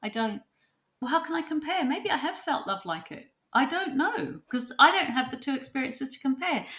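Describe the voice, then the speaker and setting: A woman speaks in a raised, projected voice with a bright, sharp tone and a high pitch at a fairly quick pace. Her pitch swings very widely and her loudness rises and falls in big swings. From New Zealand. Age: 60s. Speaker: psychotherapist and author. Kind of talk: podcast interview.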